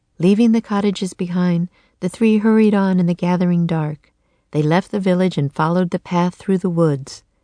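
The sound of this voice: An unforced reading voice is heard, with nothing much in the background.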